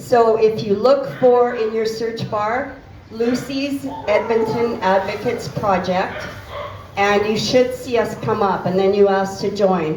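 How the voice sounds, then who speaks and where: This woman has a Canadian accent and a fairly high pitch. Noticeable background noise and audible room echo surround her voice. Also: ordinary pitch variation, fairly slow pace. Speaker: animal welfare advocate. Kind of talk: informal talk to a volunteer group. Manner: loud. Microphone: cutting in and out.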